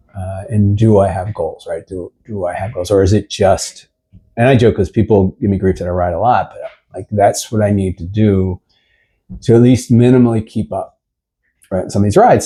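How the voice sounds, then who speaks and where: Fairly low in pitch, dark and mellow, and somewhat breathy, a man speaks at a moderate pace with fairly even intonation on a very clean recording with a silent background. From Philadelphia area, US. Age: 60s. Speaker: cyclist, cycling club rider. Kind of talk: casual interview chat.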